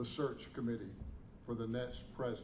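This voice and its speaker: A man talks in a space with audible room echo, noticeable background noise mixing in. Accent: Southern US. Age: 70s. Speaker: interim university president. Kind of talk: press conference statement.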